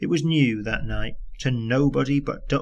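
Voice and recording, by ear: Someone is reading aloud in a natural voice. The reading goes on throughout.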